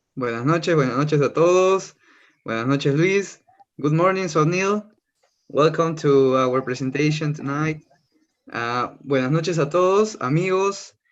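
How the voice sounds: The pace here is fairly slow. A man talks with ordinary pitch variation. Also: fairly high pitch for a man.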